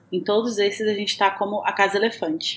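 Her pitch sits in the medium range. The woman is heard over noticeable background noise. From Brazil, Minas Gerais. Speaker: podcast co-host. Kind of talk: scripted announcement; casual chat.

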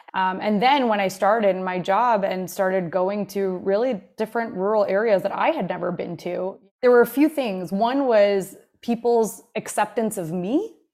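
Moderately paced speech from a woman: a plain, everyday voice, mid-range pitch, and ordinary variation in pitch. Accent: American. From New Jersey, Jersey Shore. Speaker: nonprofit tech manager. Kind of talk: interview.

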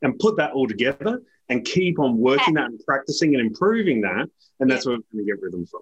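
A man with an Australian accent talks at a very fast pace in a medium pitch. His pitch swings very widely, and the sound is dry and close with no echo. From South Australia, Adelaide Hills. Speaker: leadership author and educator. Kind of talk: interview conversation.

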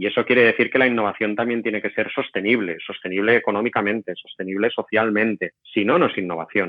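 This man has an unremarkable speaking voice with fairly low pitch. He talks at a fairly quick pace with ordinary pitch variation. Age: 40s. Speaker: innovation executive and professor. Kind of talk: interview.

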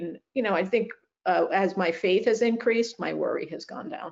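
A woman at a fairly quick pace, slightly mellow in tone, with vocal fry and fairly even intonation

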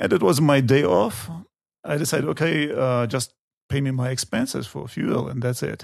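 A man talks at a moderate pace with a Chechen accent. His pitch sits in the medium range and varies in an ordinary way. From Chechnya, North Caucasus. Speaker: tour guide. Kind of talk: interview. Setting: studio. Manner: halting, many fillers.

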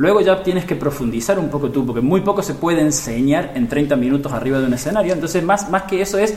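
A man with an Argentine accent, high-pitched and with lively intonation, amid noticeable background noise and audible room echo. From Argentina. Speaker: digital marketing expert. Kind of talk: interview. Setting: at a live marketing conference.

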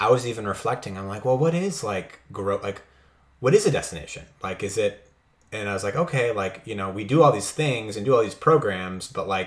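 Speaking at a fairly quick pace, the man has a medium pitch. His voice is somewhat breathy. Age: 20s. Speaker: podcast host, seminary-trained church leader. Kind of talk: interview. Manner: halting.

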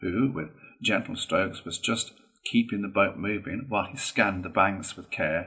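Someone reads aloud in a natural voice.

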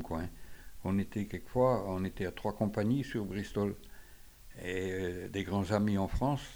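His voice is fairly low in pitch, with a dark, mellow tone and fairly even intonation. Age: 80s+. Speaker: retired onion seller. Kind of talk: testimony.

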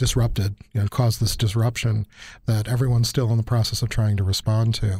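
A man's somewhat breathy, dark, mellow voice keeps very even loudness and monotone, flat intonation at a fairly quick pace. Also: medium pitch for a man. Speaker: university professor podcast host. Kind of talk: interview conversation.

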